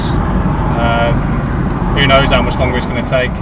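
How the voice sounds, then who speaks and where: At a moderate pace, the voice comes through with a dry sound with no echo, set against loud background noise. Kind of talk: casual vlog chat. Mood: frustrated, complaining. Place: car. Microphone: phone near.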